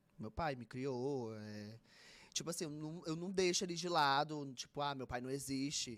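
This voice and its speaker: Speaking with a Fortaleza accent, a man uses a fairly high pitch and ordinary pitch variation. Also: very clean recording, silent background. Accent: Fortaleza (Ceará) accent, noticeable. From Northeast Brazil, Fortaleza (Ceará). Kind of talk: casual interview chat. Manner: fast.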